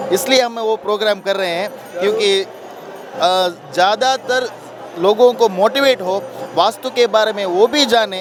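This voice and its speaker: A man speaks at a high pitch with ordinary pitch variation. Crowd noise fills the background. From Karnataka, India. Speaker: interviewer. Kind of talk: interview.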